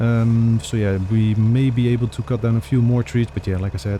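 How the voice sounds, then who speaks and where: A man's moderate-paced voice over noticeable background noise. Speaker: gaming video creator. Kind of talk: let's play commentary.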